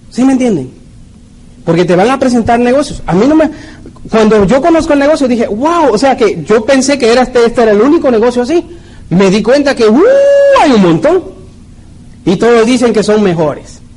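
There is noticeable background noise. Over it, a man speaks at an extremely high pitch. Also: lively intonation, moderate pace. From Mexico, Puebla. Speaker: network marketing leader. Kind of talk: motivational talk.

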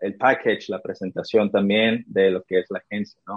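Speaking at medium pitch, a man keeps a fairly even intonation. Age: 20s. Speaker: sports marketing entrepreneur. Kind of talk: interview. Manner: halting.

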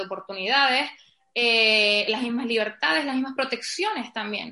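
At a moderate pace, a woman speaks in a bright, sharp tone. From Canary Islands, Spain. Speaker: podcast guest discussing feminism. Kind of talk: casual conversation.

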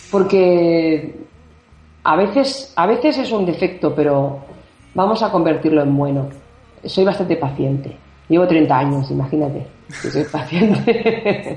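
A woman's fairly low voice with lively intonation, fairly slow and full of long, frequent pauses, amid audible room echo. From Barcelona, Spain. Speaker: singer-songwriter. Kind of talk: interview. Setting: phone call.

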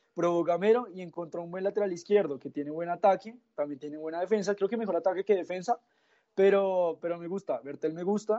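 Speaking at a fairly quick pace, a man with a high pitch shows ordinary pitch variation and big swings in loudness. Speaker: football pundit. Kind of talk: sports analysis chat.

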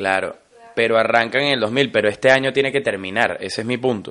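A man's animated, bright, sharp tone with a Venezuelan accent, medium pitch and ordinary pitch variation. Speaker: podcast co-host. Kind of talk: casual chat.

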